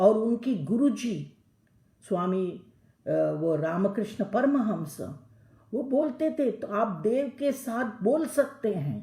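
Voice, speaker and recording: A woman with a Telangana accent speaks at a fairly high pitch in a dark, mellow tone, with vocal fry, lively intonation and audible room echo. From South India, Tamil Nadu. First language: Telugu (speaking Hindi). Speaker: lecturer. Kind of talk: lecture. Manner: halting, many fillers; mixes Hindi and English.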